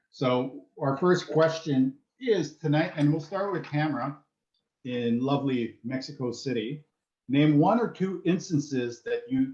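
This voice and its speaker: At a fairly slow pace, a man with a slight French Canadian accent and a fairly high pitch speaks with lively intonation. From French Canada. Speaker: professor, panel moderator. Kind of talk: panel moderation.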